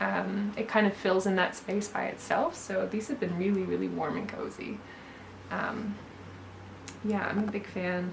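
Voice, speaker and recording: At a moderate pace with ordinary pitch variation, the speaker leaves long, frequent pauses, amid noticeable background noise and audible room echo. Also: woman, medium pitch for a woman. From Newfoundland, Canada. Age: 30s. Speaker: knitwear designer. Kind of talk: casual chat. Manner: hesitant, many fillers.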